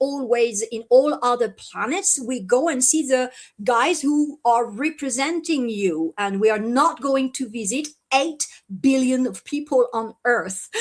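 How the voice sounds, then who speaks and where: A woman with a French accent speaks at a fairly slow pace and high pitch, her intonation lively. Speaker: contactee, event organizer. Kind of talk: live stream interview. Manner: halting, many fillers.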